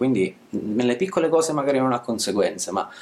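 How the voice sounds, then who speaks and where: Moderate speed and ordinary pitch movement in a man's speech. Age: 30s. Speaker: YouTuber and essayist on masculinity. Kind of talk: casual interview conversation. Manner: hesitant, repeats words.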